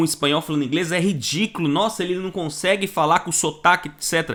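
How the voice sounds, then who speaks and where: A man talks at a fairly quick pace. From Brazil. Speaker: online course teacher. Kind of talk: video lesson. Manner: casual, repetitive fillers.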